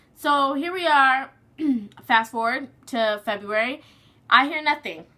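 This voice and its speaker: A woman with a high, bright, sharp voice projects it loudly, speaking at a fairly slow pace with ordinary pitch variation. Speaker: surrogate mother vlogger. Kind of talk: casual vlog update.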